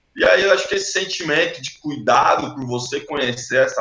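A man at a moderate pace. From Brazil, São Paulo coast (Itanhaém). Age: 40s. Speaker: environmental NGO founder, surfer. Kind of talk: interview.

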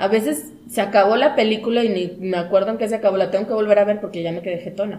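Amid noticeable background noise and audible room echo, a woman talks very fast at a medium pitch. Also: ordinary pitch variation. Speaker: podcast host. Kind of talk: casual chat.

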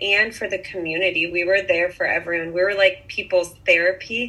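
A woman speaks at a medium pitch with an American accent and a fairly quick pace. Her intonation is monotone and flat, and there is noticeable background noise. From US Pacific Northwest, Bainbridge Island near Seattle. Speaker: boutique owner. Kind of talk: interview.

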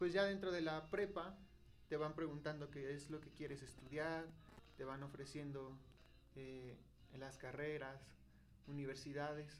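Audible room echo surrounds a man with a fairly high pitch who speaks with fairly even intonation and long, frequent pauses. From Mexico, Hidalgo. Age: young. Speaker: seminarian, podcast co-host. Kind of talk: testimony.

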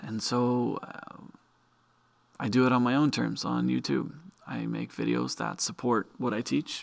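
A man with an American accent at a fairly slow pace, amid noticeable background noise. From Arizona. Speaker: teacher and podcast host. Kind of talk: solo talk podcast. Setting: video recording in classroom. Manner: halting, many fillers and repetitions.

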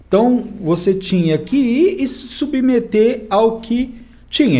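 A man's voice comes through somewhat breathy with a dark, mellow tone. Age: 50s. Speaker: tax exemption consultant, wheelchair user. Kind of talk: casual interview chat.

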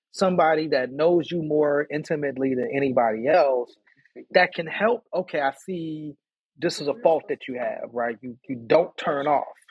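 A man with an American accent has a normal speaking voice at a fairly high pitch. He keeps a moderate pace with ordinary pitch variation. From Chicago South Side, raised from childhood in Pittsburgh. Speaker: rapper and community organizer. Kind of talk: casual chat.

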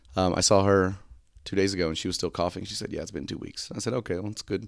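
The speech moves at a fast pace with fairly even intonation and vocal fry. The recording is very clean, with a silent background. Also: man, low pitch for a man.

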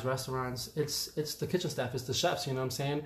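A man with a New York accent, somewhat breathy and talking at a very fast pace, with audible room echo. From New York, the Bronx. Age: 30s. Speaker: chef. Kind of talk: casual chat.

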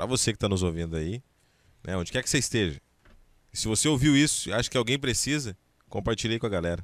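The intonation is lively, and the sound is dry and close with no echo. The recording is very clean, with a silent background. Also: man. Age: 30s. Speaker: radio host. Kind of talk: casual chat. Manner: halting.

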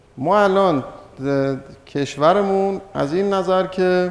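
Noticeable background noise accompanies a man who talks at a very slow pace with ordinary pitch variation. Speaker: economics lecturer. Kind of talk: lecture. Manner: halting, many pauses.

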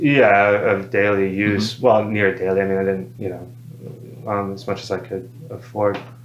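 Noticeable background noise and audible room echo fill this recording. The man's pitch rises and falls in an ordinary way. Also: fairly low pitch for a man, moderate pace. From Alabama (Madison). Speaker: recovery program resident and campus leader. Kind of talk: testimony. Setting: on a recovery program campus.

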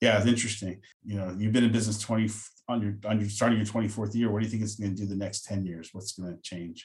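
A man talks at a very fast pace in a fairly low, somewhat breathy voice. His intonation is flat and monotone. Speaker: podcast host. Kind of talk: interview.

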